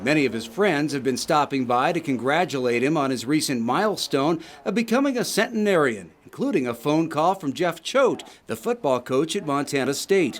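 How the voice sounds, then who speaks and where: A normal speaking voice keeps a moderate pace, its intonation lively. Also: man, fairly high pitch for a man. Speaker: TV news reporter. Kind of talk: TV news feature narration.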